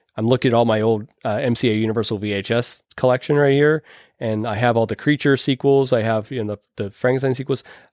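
A normal speaking voice with an American accent, fairly quick pace and fairly even intonation, in a very clean recording with a silent background and a dry, close sound with no echo. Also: man, medium pitch for a man. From Pittsburgh, US. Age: 40s. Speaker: podcast host, horror film reviewer. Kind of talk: casual chat.

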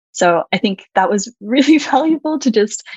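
Heard in a dry, close sound with no echo, a woman speaks with lively intonation. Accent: American. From Australia. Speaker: website designer. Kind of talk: interview conversation.

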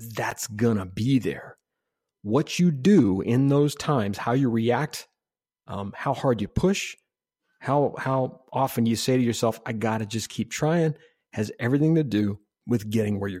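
In a very clean recording with a silent background, a man uses an ordinary speaking voice at medium pitch with ordinary pitch variation. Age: 50s. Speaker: podcast host and UX consultant. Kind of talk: casual interview conversation.

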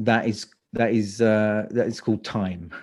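A man with a London accent speaks at a fairly slow pace against a quiet background. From London, England. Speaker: speaker coach. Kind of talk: interview.

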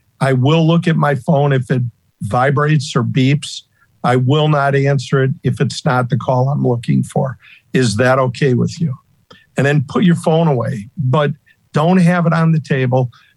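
Somewhat breathy voice with fairly even intonation at a moderate pace. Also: man, fairly high pitch for a man. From US Midwest, Northeast Ohio. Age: 60s. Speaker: retired title insurance salesperson and former pro bowler. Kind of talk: casual interview conversation.

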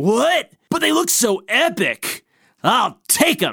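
A put-on character voice delivers its lines at a very slow pace. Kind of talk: surfer slang comedy. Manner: laid-back, enthusiastic.

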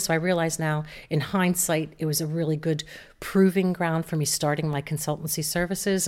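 In an American accent, a woman talks at a fairly quick pace with fairly even intonation and a fairly low pitch. Hers is a normal speaking voice, captured on a very clean recording with a silent background. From United States. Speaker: digital marketing entrepreneur. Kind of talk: interview.

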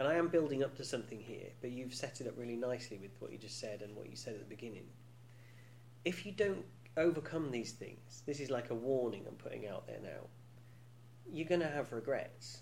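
A man with a British accent speaks, his loudness swinging widely. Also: medium pitch for a man, ordinary pitch variation, fairly quick pace. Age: 40s. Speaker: podcast host. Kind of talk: casual chat. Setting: studio. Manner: joking, teasing.

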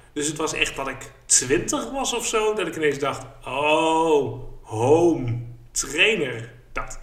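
Over noticeable background noise and audible room echo, a man speaks very slowly with lively intonation. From eastern Netherlands, Haaksbergen. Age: 30s. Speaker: podcast host. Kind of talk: casual chat.

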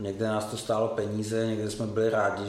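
The voice comes at a fairly quick pace in a monotone, flat delivery, with audible room echo. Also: man. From Czech Republic, Prague. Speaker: entrepreneur. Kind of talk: casual interview.

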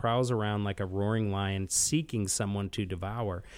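A man has an ordinary speaking voice at a fairly low pitch and a moderate pace. The recording is very clean, with a silent background. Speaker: executive pastor, Bible study leader. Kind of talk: interview with Bible teaching.

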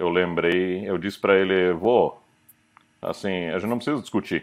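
A man at a moderate pace, very deep and low in pitch, with fairly even intonation. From Curitiba, southern Brazil. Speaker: company CEO. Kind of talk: interview.

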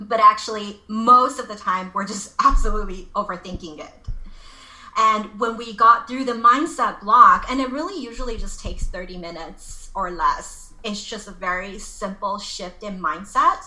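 With a Californian accent, a woman speaks at a fairly high pitch and a moderate pace, her intonation lively and her loudness swinging widely over noticeable background noise. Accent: American (California). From Los Angeles, US. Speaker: life coach. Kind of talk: interview.

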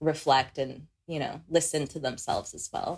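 Very deep and low in pitch, a woman talks with an American accent. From Philippines, then raised in the US from age six. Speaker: healing practitioner. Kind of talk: casual chat. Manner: laughs often.

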